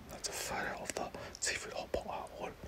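At a moderate pace, a whispering voice carries over noticeable background noise. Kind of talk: ASMR food commentary, casual talk to camera. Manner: whispered, soft.

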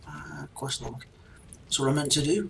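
This man's intonation is lively. Noticeable background noise runs behind him. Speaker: gaming video creator. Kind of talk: gameplay commentary. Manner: casual, thinking aloud.

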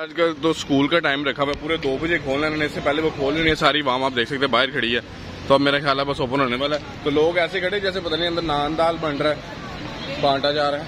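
Talking fast, a man uses a fairly high pitch and fairly even intonation over clear background noise.

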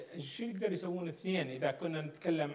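This man speaks. His voice sits high in pitch. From Iraq. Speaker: politician. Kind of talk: political interview. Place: studio. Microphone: lapel.

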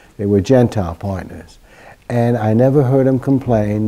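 His pitch moves in an ordinary way. The man's tone is dark and mellow. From Germany. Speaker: Holocaust survivor. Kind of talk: testimony. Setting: interview. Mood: calm, reflective storytelling. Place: office. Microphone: lapel.

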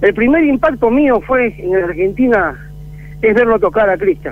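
A man with a high-pitched voice talks at a moderate pace. His intonation is lively, and there is noticeable background noise. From Peru. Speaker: percussionist. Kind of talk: interview. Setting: phone call.

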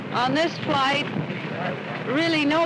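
A woman is heard over loud background noise. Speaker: aviator. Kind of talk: interview answer. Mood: relaxed, smiling. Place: open country.

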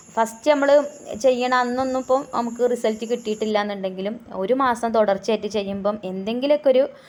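A normal speaking voice from a woman, fairly high in pitch, with fairly even intonation. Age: 30s. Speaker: home cooking vlogger. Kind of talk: casual vlog talk while cooking. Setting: home kitchen.

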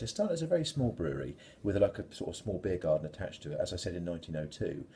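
A man's very fast speech, dark and mellow in tone with vocal fry, over light background noise. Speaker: beer reviewer. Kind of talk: casual vlog chat. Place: home room. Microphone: phone near.

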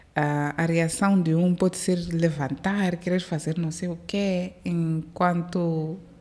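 A woman's fairly low, somewhat breathy voice, dark and mellow in tone, with monotone, flat intonation. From born in Maputo, raised in South Africa from age 5 to 22. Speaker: airline captain; guest. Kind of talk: interview. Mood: relaxed, smiling. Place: studio. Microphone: studio mic.

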